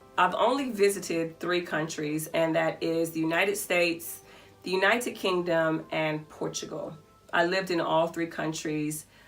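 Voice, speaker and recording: Music plays behind a woman with an American accent who speaks at a moderate pace in a fairly low pitch with ordinary pitch variation. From US South, Albany, Georgia. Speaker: vlogger and business owner. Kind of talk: casual Q&A vlog.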